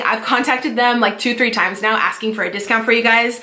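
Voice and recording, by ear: A woman talks at a fairly quick pace in a Californian accent, her pitch fairly high. Her tone is bright and sharp, with audible room echo around it. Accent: Californian American.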